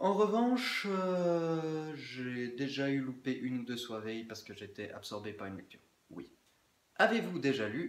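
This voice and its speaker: The pitch swings very widely. There is audible room echo. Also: man. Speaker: book vlogger. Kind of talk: casual chat. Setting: indoors, windows closed.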